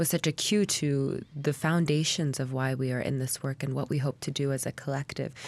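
Her pitch is very deep and low, and this woman keeps a moderate pace with fairly even intonation. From Anchorage, Alaska. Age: 20s. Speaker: climate justice organizer. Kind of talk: radio panel discussion. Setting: studio.

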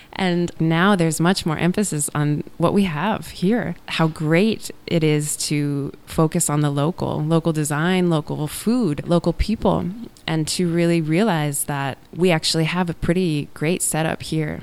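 Delivered at a fairly slow pace in an Alaskan accent, the speech has fairly even intonation and hardly any pauses. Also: woman, fairly low pitch for a woman. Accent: American, Alaskan. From Alaska, Anchorage. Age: 30s. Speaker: interviewee, returning resident. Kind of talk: radio interview.

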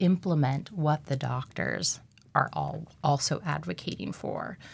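A woman speaks very slowly in a very deep, low voice, recorded very cleanly against a silent background. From Alaska. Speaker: occupational therapist. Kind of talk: radio interview.

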